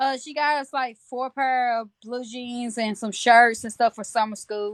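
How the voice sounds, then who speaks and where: With a Southern US accent, a woman speaks in a high pitch with fairly even intonation and big swings in loudness. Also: fairly slow pace. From Tennessee, near Georgia. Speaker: mother livestreamer. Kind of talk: casual chat.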